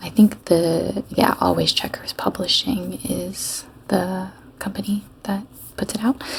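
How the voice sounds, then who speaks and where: Soft-spoken and calm in tone, the voice moves at a very slow pace against noticeable background noise. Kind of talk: soft-spoken gaming playthrough. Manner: soft-spoken, calm, rambling.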